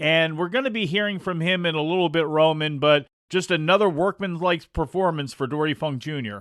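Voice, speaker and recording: A man at a fairly quick pace, with an ordinary speaking voice, fairly high-pitched and with ordinary pitch variation. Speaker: podcast host reviewing classic wrestling episodes. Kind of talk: casual podcast commentary.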